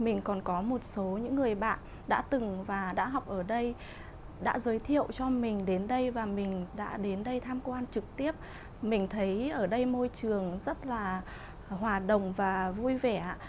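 At a fairly slow pace, the voice shows ordinary pitch variation over light background noise. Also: woman, fairly high pitch for a woman. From northern Vietnam, Hanoi area. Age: 20s. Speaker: beauty school student. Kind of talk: testimonial interview. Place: studio. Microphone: lapel.

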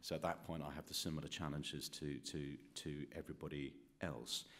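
A man speaks with a British accent and a gravelly vocal fry. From UK. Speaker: professor, former journalist. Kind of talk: panel discussion. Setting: stage with audience. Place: meeting room. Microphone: podium.

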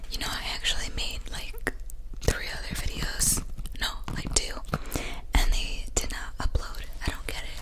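At a moderate pace, the speaker is soft-spoken. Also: woman. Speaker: ASMR creator. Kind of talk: soft casual ASMR chat. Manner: soft ASMR murmur close to mic. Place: home room. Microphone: studio mic.

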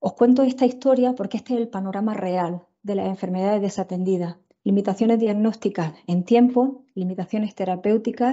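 A woman with an Andalusian accent, fairly even intonation and a quiet background. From Andalusia, Spain. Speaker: tropical medicine physician and researcher; presenter. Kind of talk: lecture. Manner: fast. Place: home room. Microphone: earbuds.

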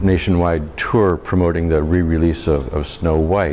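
A man speaks at a moderate pace in a very deep, low voice with ordinary pitch variation. There is light background noise. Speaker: local historian. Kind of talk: history lecture. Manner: hesitant, casual. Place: meeting room. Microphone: lapel.

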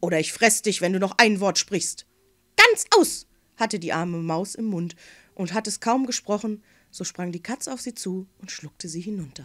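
A woman at medium pitch with an unremarkable speaking voice and ordinary pitch variation, in a very clean recording with a silent background, dry and close with no echo. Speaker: fairy tale reader. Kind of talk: bedtime story reading aloud. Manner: gentle, unhurried storyteller voice with playful character voices.

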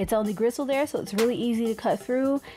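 A woman speaks with music in the background. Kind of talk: tutorial. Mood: friendly, relaxed. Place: kitchen. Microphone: phone near.

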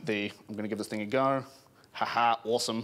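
The speaker has a New Zealand accent. Pitch variation is ordinary. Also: man. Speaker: PhD student in palaeontology. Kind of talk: public science talk. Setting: pub event with live audience. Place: bar. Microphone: handheld.

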